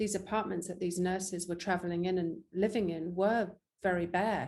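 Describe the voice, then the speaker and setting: A dark, mellow tone with a strong English accent and monotone, flat intonation. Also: woman. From England. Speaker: actress and filmmaker. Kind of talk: interview.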